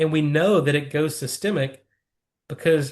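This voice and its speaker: A man's somewhat breathy voice comes through over a quiet background. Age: 50s. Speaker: nitric oxide researcher. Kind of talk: interview. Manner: fluent, technical explanations.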